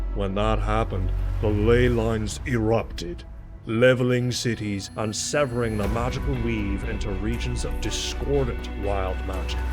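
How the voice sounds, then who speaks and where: Music playing behind a man's moderately paced speech. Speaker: voice actor. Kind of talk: fantasy narration.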